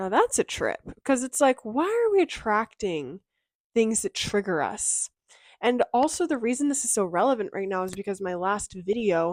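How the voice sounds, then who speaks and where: A woman with a Californian accent, fairly high-pitched, with very wide pitch swings, at a moderate pace, in a very clean recording with a silent background and a dry, close sound with no echo. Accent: California girl. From Southern California. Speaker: mental health and self-help creator. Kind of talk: casual vlog talk to camera. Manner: chatty, with fillers like um and like.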